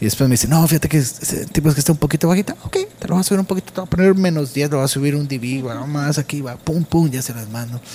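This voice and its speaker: This man speaks very fast with hardly any pauses. His pitch is fairly high and varies in an ordinary way. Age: 30s. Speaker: musician and audio engineer. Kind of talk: interview. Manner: halting, many repeated words.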